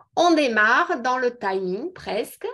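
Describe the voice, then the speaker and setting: A woman's high-pitched voice comes through with a quiet background. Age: 50s. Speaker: beauty product seller. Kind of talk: online presentation. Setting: video call.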